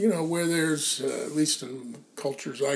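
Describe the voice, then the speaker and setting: A man speaks over noticeable background noise. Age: 60s. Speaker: founding editor of a mindfulness magazine. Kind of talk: casual conversation interview. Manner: halting, many fillers.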